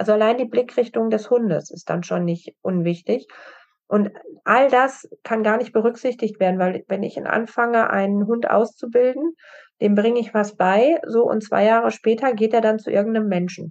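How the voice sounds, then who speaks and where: At a moderate pace, a woman with a fairly high pitch and a normal speaking voice talks with ordinary pitch variation. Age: 40s. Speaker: assistance dog trainer. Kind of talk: interview.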